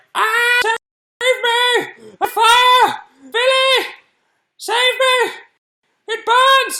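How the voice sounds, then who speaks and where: Shouting in a put-on character voice, squeaky and extremely high-pitched, the delivery is monotone and flat, very slow, with long, frequent pauses. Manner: screaming, panicked.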